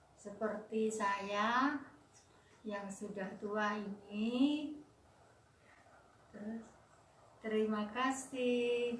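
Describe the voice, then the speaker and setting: At a very slow pace with long, frequent pauses, a woman speaks at a fairly high pitch with fairly even intonation, alongside audible room echo and noticeable background noise. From Indonesia, East Java (Puger, Jember). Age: 70s. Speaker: elderly interviewee.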